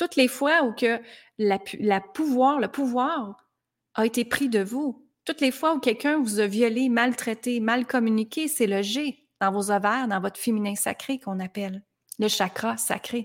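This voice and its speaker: A woman with a normal speaking voice, fairly high in pitch, at a fairly slow pace and with ordinary pitch variation. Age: 40s. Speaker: life coach. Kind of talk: motivational monologue.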